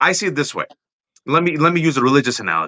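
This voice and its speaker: On a very clean recording with a silent background and a dry, close sound with no echo, a man's bright, sharp voice makes very wide pitch swings with vocal fry. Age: middle-aged. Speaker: political talk show host. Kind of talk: casual political conversation. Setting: live video stream.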